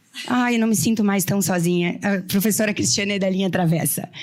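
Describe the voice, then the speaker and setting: A woman with a Porto Alegre accent speaks at a moderate pace. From Rio Grande do Sul, Brazil (small town in the north of the state). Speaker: lawyer. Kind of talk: panel talk. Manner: animated storytelling.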